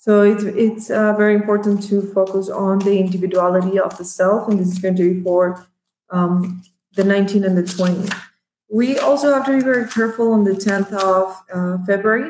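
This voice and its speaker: A woman with a non-native accent, medium pitch, fairly even intonation, very even loudness and a fairly quick pace. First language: Spanish. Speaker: tarot reader. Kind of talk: tarot reading monologue. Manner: halting, many fillers.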